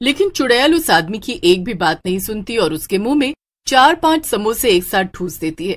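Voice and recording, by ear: Someone reading aloud in a natural voice, with a quiet background.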